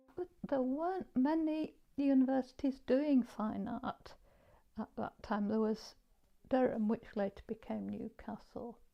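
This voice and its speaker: Talking fairly slowly, a woman with a Yorkshire accent has a high pitch and a dark, mellow tone. Her pitch varies in an ordinary way. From northern England, Leeds (Armley). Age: 70s. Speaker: artist. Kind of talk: interview. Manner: halting.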